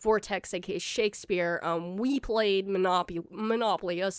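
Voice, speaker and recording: On a very clean recording with a silent background, a woman speaks in a monotone, flat intonation. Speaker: gaming streamer. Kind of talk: casual vlog update. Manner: halting with many fillers.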